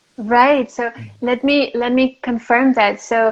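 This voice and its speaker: With a French accent, a woman speaks in a fairly high pitch and a monotone, flat intonation. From France and Greece. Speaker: interviewer, spiritual content creator. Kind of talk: live-stream interview. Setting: Instagram live video call. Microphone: phone speaker, old phone.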